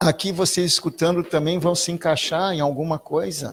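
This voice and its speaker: Here a man talks with a high pitch at a fairly slow pace. His intonation is fairly even. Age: 60s. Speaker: spiritualist lecturer. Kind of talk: spiritual talk. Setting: spiritualist centre with audience.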